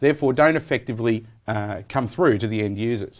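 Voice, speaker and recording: In an Australian accent, a man speaks at a fairly quick pace with a medium pitch. His pitch varies in an ordinary way against a quiet background. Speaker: software program manager. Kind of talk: technical interview.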